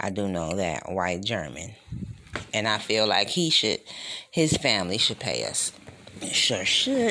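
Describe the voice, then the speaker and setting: A man at a fairly slow pace with an animated tone, long and frequent pauses, and noticeable background noise. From Detroit, US Midwest. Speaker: podcast host. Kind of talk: solo commentary monologue.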